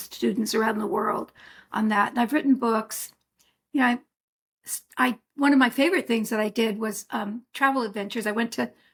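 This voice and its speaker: At a moderate pace, a woman talks in a fairly high pitch with a somewhat breathy quality. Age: 70s. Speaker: herbalist. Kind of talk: interview. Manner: conversational.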